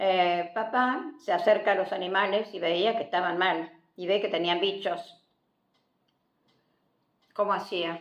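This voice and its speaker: A woman at a medium pitch and a very slow pace, with ordinary pitch variation and long, frequent pauses. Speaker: grandmother sharing life stories. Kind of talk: family storytelling.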